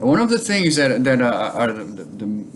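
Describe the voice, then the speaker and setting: In a Portuguese accent, a man talks with lively intonation. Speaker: bonsai hobbyist vlogger. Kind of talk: casual vlog talk. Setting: home kitchen. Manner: halting, many fillers.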